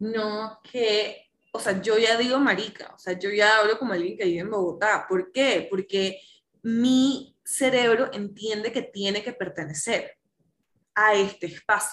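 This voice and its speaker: A woman's fairly high pitch at a fairly slow pace. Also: ordinary pitch variation. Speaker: psychologist and coach. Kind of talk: casual chat.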